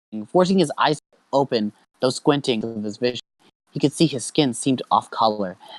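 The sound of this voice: Lively intonation in an unforced reading voice, the backdrop quiet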